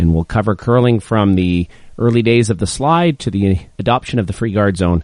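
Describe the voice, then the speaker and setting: Speaking at a moderate pace, a man has a plain, everyday voice with a fairly low pitch. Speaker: podcast host. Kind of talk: podcast intro.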